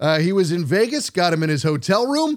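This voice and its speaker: Loud and animated, a man speaks at a high pitch on a very clean recording with a silent background. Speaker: sports podcast host. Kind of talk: sports podcast monologue and interview.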